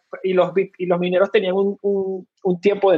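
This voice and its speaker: A man with a Venezuelan accent. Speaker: fintech co-founder. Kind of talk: interview. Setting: live stream.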